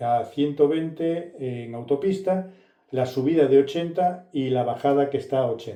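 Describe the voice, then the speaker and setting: Pitched fairly high, a man's voice shows ordinary pitch variation. He speaks at a fairly slow pace. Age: 60s. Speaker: car and tech youtuber. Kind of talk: casual vlog review. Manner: halting, many fillers.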